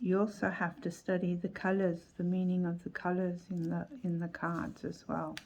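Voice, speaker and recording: With an Australian accent, the speaker talks in a flat monotone with hardly any pauses. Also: woman, fairly low pitch for a woman. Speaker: tarot youtuber. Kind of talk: casual video review. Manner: unhurried, thinking aloud.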